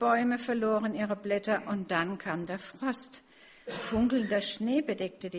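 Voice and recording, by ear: The speaker reads a passage. This is reading aloud in a natural voice.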